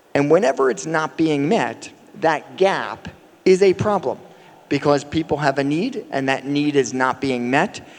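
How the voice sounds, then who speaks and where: With an American accent, a man talks at a fairly slow pace and fairly high pitch with ordinary pitch variation, amid noticeable background noise. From United States. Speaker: company CEO. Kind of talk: conference panel talk. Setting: stage with audience.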